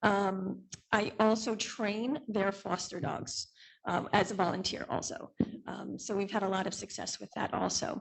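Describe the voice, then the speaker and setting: A woman speaks fairly slowly at medium pitch. Her voice carries vocal fry. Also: ordinary pitch variation. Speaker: dog trainer and business owner. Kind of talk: testimony at public hearing. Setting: township board meeting. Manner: hesitant, many fillers.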